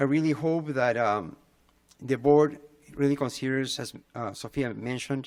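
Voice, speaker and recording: At a moderate pace, a man with a Spanish accent speaks in a medium pitch with ordinary pitch variation. He leaves long, frequent pauses. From Peru. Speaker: parent public commenter. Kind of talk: public comment at board meeting. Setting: school board meeting. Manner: halting, many fillers.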